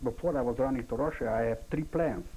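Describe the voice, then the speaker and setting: Speaking with a non-native accent, a man is heard. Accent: foreign. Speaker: Holocaust-era survivor witness. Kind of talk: oral history interview. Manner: halting.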